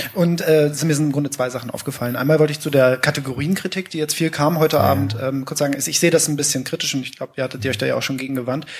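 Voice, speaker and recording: Over noticeable background noise, a man with a fairly high pitch talks at a very fast pace with hardly any pauses and ordinary pitch variation. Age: 20s. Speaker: teaching student. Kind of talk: audience discussion contribution. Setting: live event with audience.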